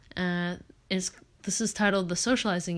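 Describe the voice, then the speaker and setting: Over a silent background in a very clean recording, a woman with a plain, everyday voice talks at a moderate pace. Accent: American. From Oregon, US. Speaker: podcast host. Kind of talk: casual chat with reading aloud.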